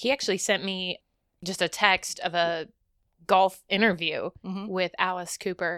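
With a dry, close sound and no echo, a woman speaks in a plain, everyday voice at a medium pitch and a moderate pace. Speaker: podcast co-host. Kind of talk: casual chat.

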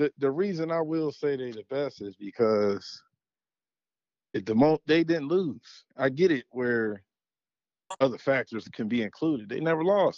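With an American accent, a man speaks at a fairly high pitch and a fairly slow pace. His intonation is lively, and his pauses are long and frequent. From Western Pennsylvania, Aliquippa. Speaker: former high school football player. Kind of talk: casual chat. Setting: phone call.

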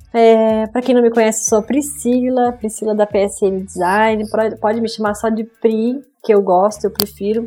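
This woman speaks at a fairly high pitch with fairly even intonation and a dark, mellow tone. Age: 30s. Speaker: graphic designer. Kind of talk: interview.

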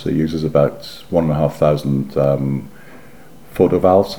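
A man with a very deep, low pitch, over noticeable background noise. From northeast England, South Shields. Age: 50s. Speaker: former photographer, local historian. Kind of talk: oral history interview.

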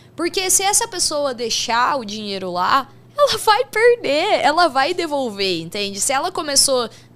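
Noticeable background noise sits under a woman's high-pitched voice. She speaks at a fairly slow pace with very wide pitch swings. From Brazil, São Paulo state interior. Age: 20s. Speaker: sports betting professional. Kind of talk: casual interview.

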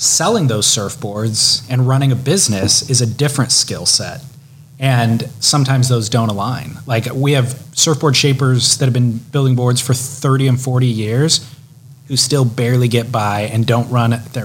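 With an American accent, a man keeps his intonation fairly even and his loudness very even. Noticeable background noise is present. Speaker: podcast host. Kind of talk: interview.

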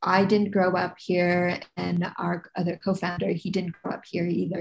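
A woman with a Californian accent speaks at a fairly low pitch with vocal fry and monotone, flat intonation. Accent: American (Californian). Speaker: street artist and shop co-founder. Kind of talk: interview conversation. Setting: remote call.

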